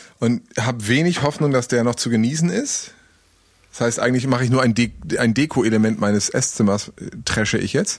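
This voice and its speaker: At a moderate pace, a man speaks in a medium pitch with ordinary pitch variation and very even loudness. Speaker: podcast co-host, radio presenter. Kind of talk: casual chat. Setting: recording from home, remote. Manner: gets louder to make a point.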